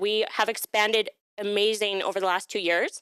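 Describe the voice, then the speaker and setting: Loud and bright with a sharp tone, this voice with a Canadian accent comes through a very clean recording with a silent background and a dry, close sound with no echo. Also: woman. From Alberta, Canada (Calgary). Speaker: workshop presenter, HR staff. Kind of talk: workshop presentation. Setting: live-streamed workshop with audience.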